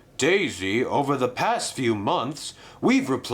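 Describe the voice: Text read aloud in a plain manner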